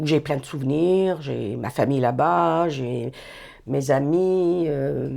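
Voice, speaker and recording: A woman speaks at a very slow pace, her very deep, low voice dark and mellow in tone. Her pitch swings very widely. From Algeria, Algiers. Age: 60s. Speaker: retired youth employment worker. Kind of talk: interview, personal life story. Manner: hesitant, many fillers and restarts.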